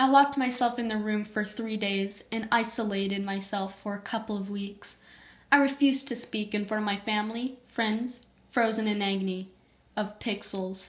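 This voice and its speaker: Somewhat breathy, a woman with a fairly high pitch speaks at a moderate pace in fairly even intonation. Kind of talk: reading own creepypasta story aloud.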